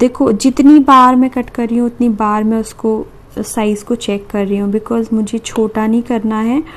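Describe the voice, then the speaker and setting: Soft-spoken and fairly high in pitch, a woman talks with fairly even intonation. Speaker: beauty/craft YouTuber. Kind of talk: tutorial. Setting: at home at night. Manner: quiet, soft-spoken; slow.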